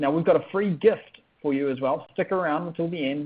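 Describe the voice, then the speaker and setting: A man speaks at a fairly quick pace with a fairly high pitch. His pitch varies in an ordinary way. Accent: New Zealand. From New Zealand. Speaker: online business coach. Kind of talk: sales webinar. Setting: webinar.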